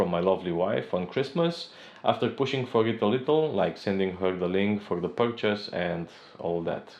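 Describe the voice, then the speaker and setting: A man with a non-native accent talks at a fairly low pitch, with ordinary pitch variation. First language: not English. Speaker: tech reviewer, software engineer. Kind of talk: product review. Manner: slightly halting.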